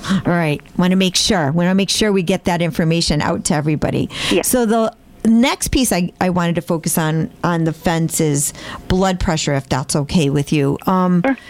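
A woman speaks at a moderate pace in a fairly low voice, with ordinary pitch variation, very even loudness and noticeable background noise. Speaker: health system podcast host. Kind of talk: interview. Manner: animated.

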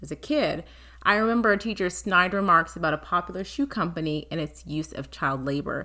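With a fairly low pitch, a bright, sharp tone and some vocal fry, a woman talks at a fairly quick pace with lively intonation on a very clean recording with a silent background. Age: 30s. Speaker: podcast host. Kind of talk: scripted monologue.

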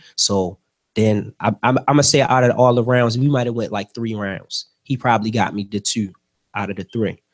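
A man of medium pitch at a moderate pace, fairly even in intonation, with a dry, close sound and no echo. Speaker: rapper. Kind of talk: casual interview. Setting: radio studio.

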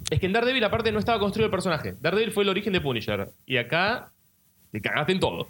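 In a Rioplatense accent, a man talks at a very fast pace, high-pitched for a man, with lively intonation. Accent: Argentine Rioplatense Spanish. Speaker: podcast co-host. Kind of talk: casual chat.

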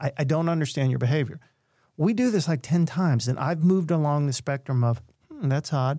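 On a very clean recording with a silent background, a man talks at a very fast pace with fairly high pitch, ordinary pitch variation, a somewhat breathy voice and a dark, mellow tone. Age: 50s. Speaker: mental health speaker and storyteller. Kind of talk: storytelling interview.

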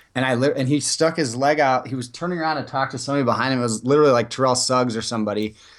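Speaking very fast with hardly any pauses, a man holds a medium pitch and fairly even intonation. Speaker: co-host sports podcaster. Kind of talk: casual chat. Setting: remote call. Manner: laughing, chatty.

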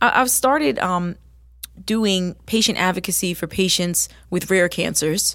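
In a plain, everyday voice, a woman with an American accent and a fairly low pitch speaks at a fairly slow pace with ordinary pitch variation on a very clean recording with a silent background. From New Jersey. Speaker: singer and nurse. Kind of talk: interview.

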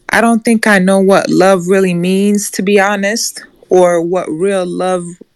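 At a fairly slow pace, a woman talks in a medium pitch with a monotone, flat intonation. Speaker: audience participant. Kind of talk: casual group discussion. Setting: live Clubhouse audio room.

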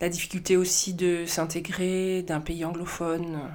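A woman with a fairly low pitch speaks in a monotone, flat intonation, with audible room echo. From southern France, Marseille. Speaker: film director. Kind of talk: interview.

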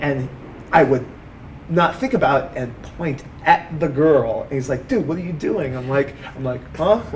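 There is noticeable background noise as a man talks at a fairly high pitch. His loudness swings widely, while his pitch variation is ordinary. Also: moderate pace. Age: 30s. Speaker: stand-up comedian. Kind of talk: interview testimony. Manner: halting.

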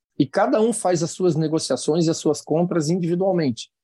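The sound is dry and close with no echo, over a quiet background. A man with a fairly high pitch and a dark, mellow tone talks at a moderate pace. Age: 60s. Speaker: industry association president. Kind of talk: interview.

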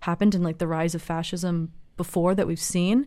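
On a very clean recording with a silent background, a woman with an American accent uses a normal speaking voice at medium pitch and a moderate pace. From US West Coast, Los Angeles. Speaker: student. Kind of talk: roundtable discussion.

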